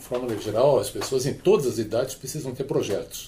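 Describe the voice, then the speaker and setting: Somewhat breathy voice with a dark, mellow tone. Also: man. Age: 70s. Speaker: work transition educator. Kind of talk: podcast panel discussion.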